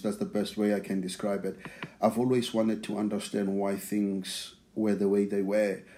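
This man speaks with a South African accent in a fairly low pitch. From South Africa (township near Pretoria). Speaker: church member sharing testimony. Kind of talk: testimony. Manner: repeats words, halting.

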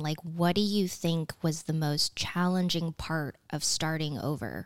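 A woman's fairly low-pitched voice at a fairly slow pace. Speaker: podcast co-host. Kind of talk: casual chat. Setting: studio with headphones and mics. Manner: soft-spoken.

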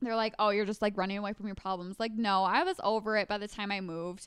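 An ordinary speaking voice with fairly even intonation. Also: woman. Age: 20s. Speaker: podcast co-host. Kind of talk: casual chat.

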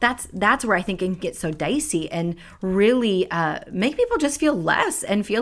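With lively intonation and a moderate pace, a woman with an unremarkable speaking voice at a medium pitch comes through on a very clean recording with a silent background. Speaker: podcast host. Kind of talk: casual chat.

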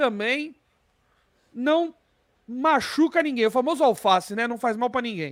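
The delivery has an animated tone. The recording is very clean, with a silent background. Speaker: football podcast host. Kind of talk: casual chat.

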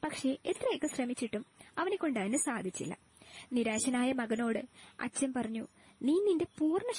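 In a dry, close sound with no echo, a woman speaks in a high voice with lively intonation. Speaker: student. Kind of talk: storytelling.

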